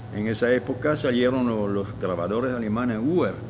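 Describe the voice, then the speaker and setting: Over noticeable background noise and audible room echo, a man speaks fairly slowly at a medium pitch with ordinary pitch variation. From France. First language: French (speaking Spanish). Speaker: ethnologist. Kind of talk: interview. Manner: halting.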